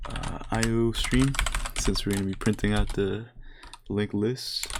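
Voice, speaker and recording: Over noticeable background noise, a man speaks fairly slowly at a medium pitch, his intonation flat and monotone. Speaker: programming tutorial creator. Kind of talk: tutorial. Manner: casual, hesitant with fillers.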